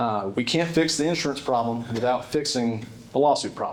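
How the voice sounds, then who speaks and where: A man with a fairly high voice in a South Carolina accent, with audible room echo. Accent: Upstate South Carolina Southern. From South Carolina Upstate, Spartanburg County. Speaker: state legislator. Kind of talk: speech at a dinner event. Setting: stage with audience at annual dinner. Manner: casual, with fillers and repetitions.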